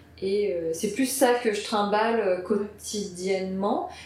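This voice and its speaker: The intonation stays fairly even. Noticeable background noise and audible room echo fill the recording. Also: woman. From Paris suburbs, France. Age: 30s. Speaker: video editor. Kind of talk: casual interview. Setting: editing studio.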